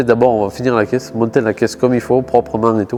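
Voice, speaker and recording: The speaker is a man with a medium-pitched voice. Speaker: car youtuber. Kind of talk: casual vlog talk to camera. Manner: halting, searching for words.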